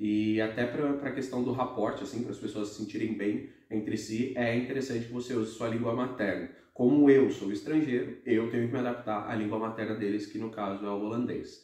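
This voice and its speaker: A man's medium-pitched voice with a dark, mellow tone, fairly even intonation and a fairly quick pace, hardly any pauses, and audible room echo. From Brazil. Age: 20s. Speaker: expat office worker. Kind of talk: casual Q&A chat.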